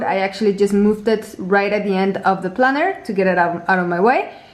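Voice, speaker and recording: Over noticeable background noise, a woman with a medium pitch talks at a fairly quick pace with fairly even intonation. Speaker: planner designer and tutorial creator. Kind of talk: product tutorial. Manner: fast.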